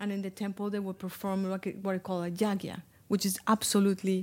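A woman talks at a very fast pace with a Spanish accent. Her medium-pitched voice sits on a very clean recording with a silent background. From Colombia. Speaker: Ayurvedic spa owner and healer. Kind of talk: casual interview. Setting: at her spa with small group.

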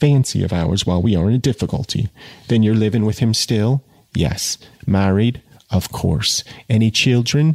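Plain reading aloud comes through, its pitch varying in an ordinary way.

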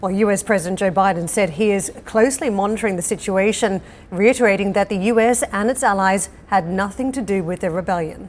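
A woman's plain, everyday voice at a medium pitch. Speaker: business news anchor. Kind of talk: news reading. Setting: studio.

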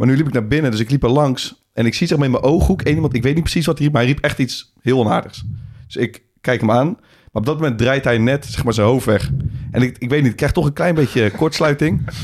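A man speaks very fast at a medium pitch with ordinary pitch variation. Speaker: podcast co-host and football coach. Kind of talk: casual chat.

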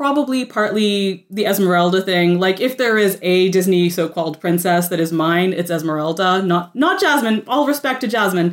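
Speaking with a Canadian accent, a woman keeps a medium pitch, lively intonation and very even loudness. Her moderate pace leaves hardly any pauses. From Quebec, Canada (Gatineau area). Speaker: author and critic. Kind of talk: casual chat. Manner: animated.

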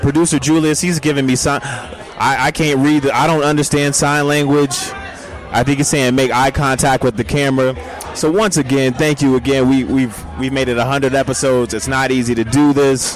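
A man talks fairly quickly at a fairly high pitch in an animated, upbeat tone with very even loudness. Background noise is noticeable. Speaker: podcast co-host. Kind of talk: casual live podcast banter, emcee-style crowd hype.

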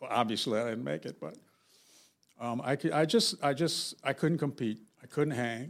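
On a very clean recording with a silent background, a man with an American accent speaks with lively intonation and vocal fry, leaving long, frequent pauses. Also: medium pitch for a man, moderate pace. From US, South Central Los Angeles. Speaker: novelist. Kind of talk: casual interview.

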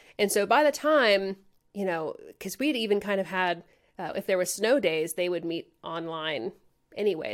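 A woman's normal speaking voice at a medium pitch and moderate pace, with lively intonation, in a very clean recording with a silent background. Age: 30s. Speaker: audio engineer and AV integrator. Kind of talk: casual chat.

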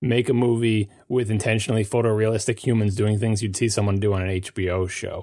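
On a very clean recording with a silent background, a man with a Long Island accent speaks very fast, with hardly any pauses, in a dark, mellow tone at a fairly low pitch and a monotone, flat intonation. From US Northeast, Long Island. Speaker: podcast panelist. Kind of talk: casual chat.

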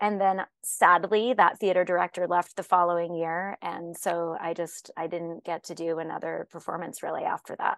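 A woman with an American accent speaks at a moderate pace in a fairly low pitch, with hardly any pauses, against a quiet background. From US Southwest. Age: 30s. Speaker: actress. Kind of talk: casual interview. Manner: animated.

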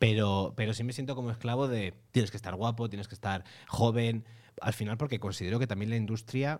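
On a very clean recording with a silent background, a man speaks at a fairly quick pace with medium pitch and fairly even intonation. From Almería, Spain. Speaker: podcast host and actor. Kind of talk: casual chat. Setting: studio with video.

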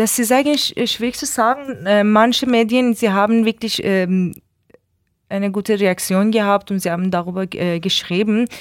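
The recording is very clean, with a silent background. A woman speaks at a moderate pace and medium pitch, with ordinary pitch variation. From Iran. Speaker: artist and activist. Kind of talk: interview. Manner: halting.

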